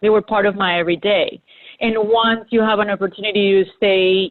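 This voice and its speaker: A woman's fairly high-pitched voice with ordinary pitch variation, in a Spanish accent. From Colombia (Bogota and Medellin). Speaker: graphic designer. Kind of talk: panel discussion.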